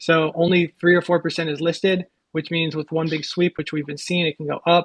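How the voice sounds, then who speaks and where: Speaking at a moderate pace, a man with a fairly high pitch keeps a monotone, flat intonation. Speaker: crypto fund trader. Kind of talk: live audio chat.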